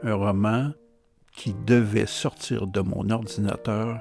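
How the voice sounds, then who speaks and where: Music plays in the background as a man with a fairly low pitch speaks at a very slow pace with fairly even intonation. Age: 70s. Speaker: novelist. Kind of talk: casual talk to camera.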